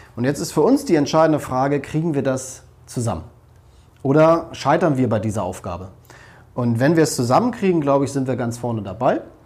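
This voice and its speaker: There is audible room echo as a man talks at a fairly quick pace, his fairly high voice rising and falling with lively intonation. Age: 40s. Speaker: politician. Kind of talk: interview.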